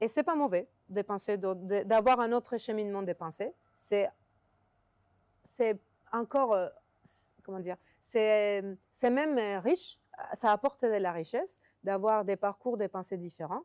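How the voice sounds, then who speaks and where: A woman with a non-native accent speaks at a medium pitch and a fairly slow pace, with long, frequent pauses. Her loudness swings widely, and the sound is dry and close with no echo. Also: ordinary pitch variation. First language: not French (speaking French). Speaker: software developer. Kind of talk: interview. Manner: halting.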